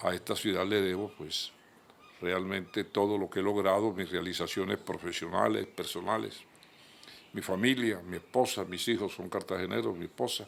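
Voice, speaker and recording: A man's very deep, low voice with vocal fry at a moderate pace. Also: ordinary pitch variation. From Colombia, Caribbean coast (Magdalena, raised in Cartagena). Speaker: journalist and lawyer. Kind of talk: TV interview. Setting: his office.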